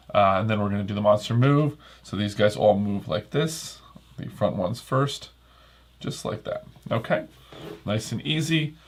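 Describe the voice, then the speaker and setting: A man's somewhat breathy, fairly low voice in a relaxed tone, at a moderate pace with lively intonation and long, frequent pauses. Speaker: board game reviewer. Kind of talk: solo playthrough commentary. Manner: casual, relaxed.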